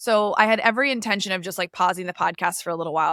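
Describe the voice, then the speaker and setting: A woman speaks at a very fast pace with an energetic, bright, sharp tone. The sound is dry and close with no echo, on a very clean recording with a silent background. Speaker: podcast host and life coach. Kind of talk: casual solo podcast talk.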